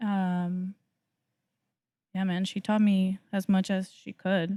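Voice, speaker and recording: A woman's dark, mellow voice, monotone and flat, at a very slow pace with a dry, close sound and no echo. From Mexico. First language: Spanish. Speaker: cafe owner. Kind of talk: casual chat.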